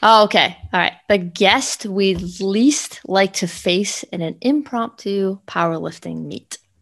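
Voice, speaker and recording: A woman speaks at a very slow pace with hardly any pauses. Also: medium pitch for a woman, ordinary pitch variation. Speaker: podcast co-host, fitness trainer. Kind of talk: casual podcast chat, season wrap-up.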